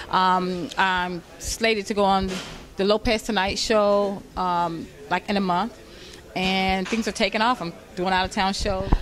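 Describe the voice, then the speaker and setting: A woman's medium-pitched voice, monotone and flat in intonation, with an Atlanta accent, a fairly slow pace, and noticeable background noise. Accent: Southern US, Atlanta. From US South, Atlanta, Georgia. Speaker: stand-up comedian. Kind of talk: casual interview.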